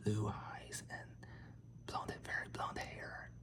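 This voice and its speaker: The words are whispered very slowly. Noise can be clearly heard behind them. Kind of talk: ASMR facts reading. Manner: soft-spoken.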